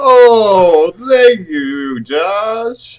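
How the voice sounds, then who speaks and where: The speaker uses a put-on character voice at a fairly high pitch. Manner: spooky.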